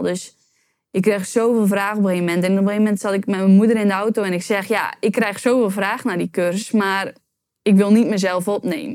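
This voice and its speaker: Speaking at a fairly quick pace, a woman has a medium pitch and fairly even intonation. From Netherlands, Urk. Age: 20s. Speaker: YouTube entrepreneur. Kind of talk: interview.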